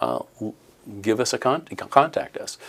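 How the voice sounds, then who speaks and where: A man at a fairly quick pace with a fairly low pitch. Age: 60s. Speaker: training company owner. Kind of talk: interview. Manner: halting.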